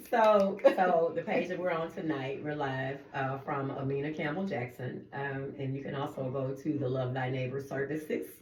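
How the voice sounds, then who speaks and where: A woman's very deep, low voice with ordinary pitch variation at a moderate pace, plus audible room echo. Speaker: radio co-host, nonprofit founder. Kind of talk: casual radio chat. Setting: radio studio, streamed live.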